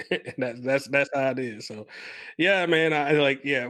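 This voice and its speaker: Against a quiet background, a man with a Southern US accent talks at a fairly quick pace with fairly even intonation. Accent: Southern US twang. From US South. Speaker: podcast co-host. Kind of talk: casual chat.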